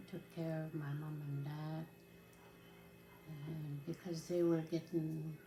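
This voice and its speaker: A woman speaks at a very deep, low pitch with a dark, mellow tone and a somewhat breathy quality. Her delivery is monotone and flat, very slow, with long, frequent pauses. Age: 60s. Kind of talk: interview testimony. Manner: halting.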